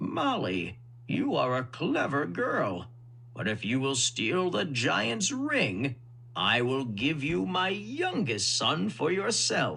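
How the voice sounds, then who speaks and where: Amid clear background noise, a man does a put-on character voice at a medium pitch, very slow and with very even loudness. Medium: read story.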